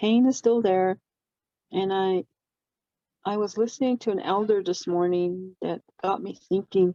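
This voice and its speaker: A woman speaks at a medium pitch in a dark, mellow tone. The sound is dry and close, with no echo. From Navajo reservation, US Southwest. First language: Navajo. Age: 50s. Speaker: counseling psychologist and healer. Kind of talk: roundtable discussion. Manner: halting, many fillers.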